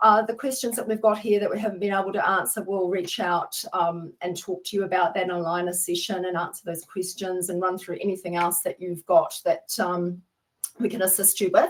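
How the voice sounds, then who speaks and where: A woman with a New Zealand accent speaks at a fairly quick pace and a medium pitch. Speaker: webinar host, software consultant. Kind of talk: business webinar. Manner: animated.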